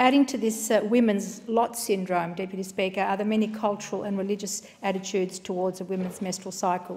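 A woman with an Australian accent talks at a fairly quick pace with hardly any pauses. Her voice is somewhat breathy, and her intonation is fairly even. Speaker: member of parliament. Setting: parliament chamber. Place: hall. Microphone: podium.

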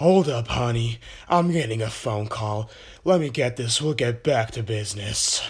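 This man uses a put-on character voice at a medium pitch. His pace is moderate. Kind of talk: comic parody voice acting. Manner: goofy, flirtatious, then panicky.

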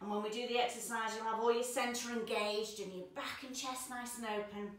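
Audible room echo fills the space. A woman is the one talking. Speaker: dance teacher. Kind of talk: tutorial. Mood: warm, encouraging. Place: home room. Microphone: camera far.

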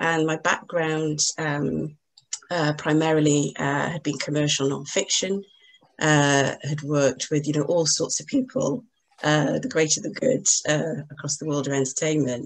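This woman's voice has a very deep, low pitch and moves at a moderate pace. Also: ordinary pitch variation. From Wales, Newport; Wales. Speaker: literary agent; panelist. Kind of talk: panel discussion. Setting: video call. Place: home room. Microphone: video call.

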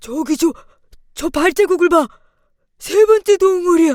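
A put-on character voice from a woman, extremely high in pitch, at a moderate pace. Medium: read story. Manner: slow, musing.

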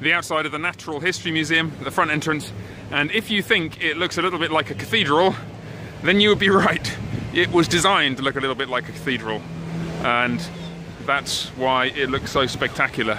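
Over noticeable background noise, a man speaks at a fairly quick pace with ordinary pitch variation, the sound dry with no echo. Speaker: tour guide filming. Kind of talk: casual vlog tour commentary. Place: street. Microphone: phone near.

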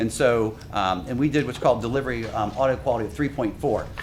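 Against noticeable background noise, a man speaks fairly quickly. His pitch is medium with ordinary variation. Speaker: radio system consultant. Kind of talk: technical presentation. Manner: fast.

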